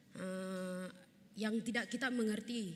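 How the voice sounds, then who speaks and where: Her intonation is fairly even. The woman's voice is somewhat breathy. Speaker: theology student presenting group discussion. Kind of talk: group presentation in class. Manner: halting, many fillers.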